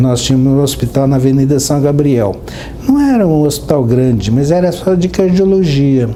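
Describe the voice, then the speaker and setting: A man with a fairly high pitch talks at a moderate pace, his loudness very even and his pitch variation ordinary, against noticeable background noise. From Minas Gerais, Brazil. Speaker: cardiologist. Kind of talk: interview answer.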